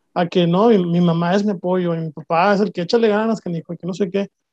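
A man with a Mexican accent speaks at a fairly quick pace in a high voice with a dark, mellow tone, the sound dry and close with no echo. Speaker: podcast host. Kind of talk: interview conversation. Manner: halting, repeats words.

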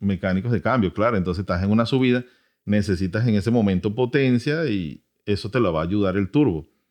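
This man has an ordinary speaking voice with a fairly low pitch and ordinary pitch variation. He talks at a fairly quick pace with very even loudness. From Venezuela. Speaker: podcast host, automotive educator. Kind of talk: casual educational chat.

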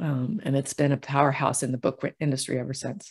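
A woman's somewhat breathy voice, very deep and low in pitch, at a moderate pace. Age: 60s. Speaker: intuitive healer and novelist. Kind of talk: casual interview.

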